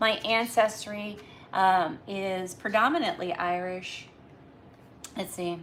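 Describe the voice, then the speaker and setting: With a Northeastern US accent, a woman of medium pitch and ordinary pitch variation speaks at a very slow pace, leaving long, frequent pauses. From Massachusetts, US Northeast. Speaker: livestreamer. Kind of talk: casual live chat. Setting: live stream at home.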